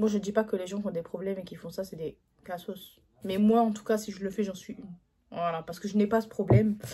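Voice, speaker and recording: A woman talks at a moderate pace and medium pitch. Her tone is dark and mellow, and somewhat breathy. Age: 20s. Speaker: YouTuber. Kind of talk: casual talk to camera.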